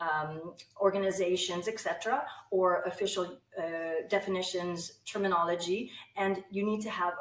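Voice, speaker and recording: A woman's medium-pitched voice with ordinary pitch variation amid noticeable background noise. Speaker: English language instructor. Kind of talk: online course introduction to camera.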